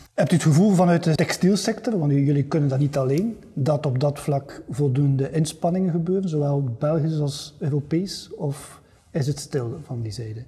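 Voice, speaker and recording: Using a plain, everyday voice, a man with a fairly high pitch talks at a moderate pace with ordinary pitch variation and hardly any pauses. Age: 50s. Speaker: podcast host. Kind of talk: interview.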